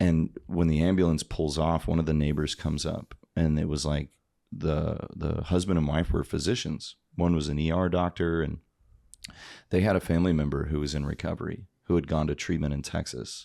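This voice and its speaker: A man's very deep, low voice with an American accent and a dark, mellow tone, fairly even in intonation, in a very clean recording with a silent background. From Oklahoma (Tulsa). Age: 30s. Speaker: podcast guest, person in recovery. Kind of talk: testimony. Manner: casual, filler-heavy.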